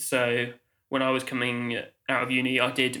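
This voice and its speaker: Here a man speaks at a medium pitch with a southern English accent. His tone is bright and sharp. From England, Oxfordshire. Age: 20s. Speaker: Steadicam operator. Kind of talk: casual interview. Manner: hesitant, many fillers.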